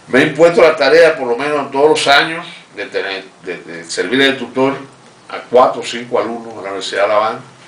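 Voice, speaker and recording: A man at a medium pitch and fairly quick pace, with lively intonation and big swings in loudness, amid noticeable background noise and audible room echo. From Cuba, Holguín. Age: 70s. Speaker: revolutionary veteran and economic adviser. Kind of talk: interview testimony. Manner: halting, with frequent repetitions.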